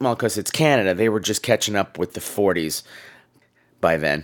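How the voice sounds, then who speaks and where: A gravelly male voice with lively intonation. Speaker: podcast host. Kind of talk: casual campy podcast chat. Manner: camp, playful, chatty.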